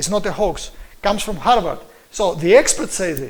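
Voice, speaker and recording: In a Greek accent, a man speaks with lively intonation amid audible room echo. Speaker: preacher and lecturer. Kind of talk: lecture. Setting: live stream. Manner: halting, with many fillers.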